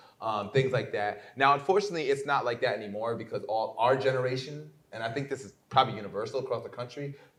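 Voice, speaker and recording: With an American accent, a man talks at a very fast pace with ordinary pitch variation. He leaves hardly any pauses. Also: medium pitch for a man, big swings in loudness. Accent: Americanized. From New York State (Port Jervis). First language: German. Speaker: poet and entrepreneur. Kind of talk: interview conversation.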